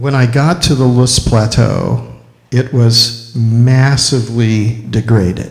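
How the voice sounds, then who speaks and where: Audible room echo surrounds a man speaking at a very slow pace with a medium pitch. His voice is somewhat breathy, with ordinary pitch variation. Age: 60s. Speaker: filmmaker and ecological restoration speaker. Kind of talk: lecture. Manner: halting.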